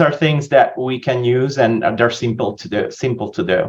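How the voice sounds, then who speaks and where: Ordinary pitch variation runs through the man's medium-pitched speech. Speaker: physician. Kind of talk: interview. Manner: hesitant with many fillers.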